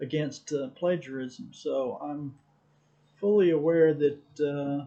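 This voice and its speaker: A very slow delivery with fairly even intonation, in an American accent. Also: man. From Texas. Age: 60s. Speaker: amateur photographer. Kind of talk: casual vlog monologue. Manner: halting, many fillers.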